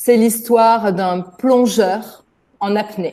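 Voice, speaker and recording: A woman speaks with a fairly high pitch. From France. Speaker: native French speaker interviewed by students. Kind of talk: interview answers. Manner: hesitant, with fillers.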